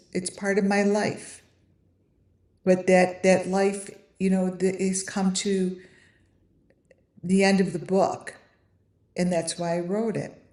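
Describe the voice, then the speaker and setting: In a monotone, flat delivery, a woman speaks at a medium pitch and a fairly slow pace, with audible room echo. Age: 50s. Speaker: online creator selling AI trading cards. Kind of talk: casual live stream talk. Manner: halting, many fillers and restarts.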